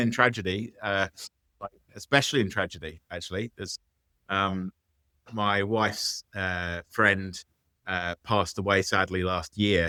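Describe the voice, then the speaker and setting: A man speaks at a fairly low pitch with a bright, sharp tone. The recording is very clean, with a silent background and a dry, close sound with no echo. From England. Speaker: business founder. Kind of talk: interview. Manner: halting, many fillers.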